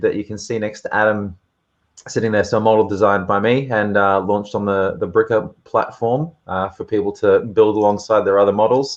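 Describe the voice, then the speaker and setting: Against a quiet background, a man with an Australian accent talks at a moderate pace. His pitch is fairly low, with ordinary pitch variation. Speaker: model designer. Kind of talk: casual chat.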